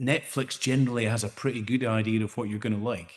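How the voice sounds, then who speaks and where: Against a quiet background, a man with a Scottish accent speaks at a medium pitch. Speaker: AI startup founder. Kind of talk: panel discussion. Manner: hesitant, many repeated words.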